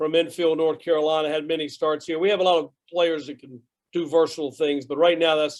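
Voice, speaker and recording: A man speaks at a fairly quick pace in a fairly high voice. His intonation is monotone and flat. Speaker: college baseball head coach. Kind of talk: press conference Q&A. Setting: video call from press box. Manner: loud.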